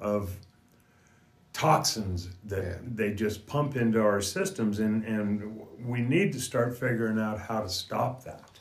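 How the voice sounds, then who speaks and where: Music plays in the background as a man speaks at a fairly slow pace. His voice sits fairly low, with ordinary pitch variation. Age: 60s. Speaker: natural health practitioner. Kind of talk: casual chat.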